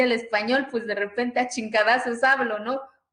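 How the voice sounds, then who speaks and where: At a moderate pace, the voice carries a bright, sharp tone. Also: woman. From Mexico, Oaxaca (Zapotec village). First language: Zapotec (speaking Spanish). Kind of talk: conference talk, personal testimony. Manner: repetitive stammering, animated.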